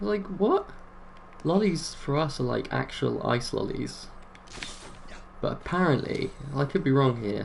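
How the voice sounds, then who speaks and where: There is noticeable background noise as a man speaks at a moderate pace in a fairly high pitch. His pitch swings very widely, and he takes long, frequent pauses. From England. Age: 20s. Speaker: video game streamer. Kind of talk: casual chat.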